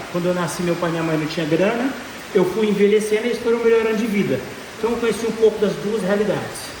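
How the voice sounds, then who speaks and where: The speech goes at a fairly quick pace, with audible room echo and noticeable background noise. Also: man. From Brazil, Goiânia (Goiás). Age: 20s. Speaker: business speaker. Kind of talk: motivational talk. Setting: stage with audience. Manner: animated.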